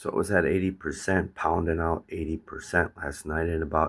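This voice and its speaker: At a moderate pace, a man talks in a very deep, low, somewhat breathy voice. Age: 60s. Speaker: DIY vlogger. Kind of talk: casual vlog. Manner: casual, halting.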